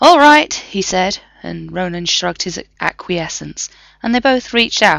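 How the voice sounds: Lively intonation colors a natural reading voice.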